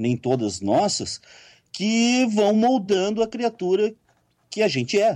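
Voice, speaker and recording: Man's dark, mellow voice at a fairly slow pace, with very wide pitch swings. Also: quiet background. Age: 50s. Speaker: writer and occultist. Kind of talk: interview.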